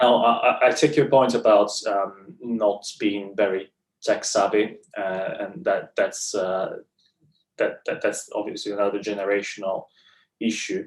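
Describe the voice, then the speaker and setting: A man with an Italian accent, speaking at a fairly slow pace. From Italy. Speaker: clinical psychologist in training. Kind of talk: interview answer.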